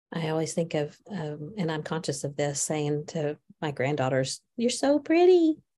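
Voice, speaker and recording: A woman speaks at a moderate pace with a very deep, low pitch and ordinary pitch variation, her tone dark and mellow and somewhat breathy. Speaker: podcast co-host. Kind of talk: casual chat. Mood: reflective, thoughtful. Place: office. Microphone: video call.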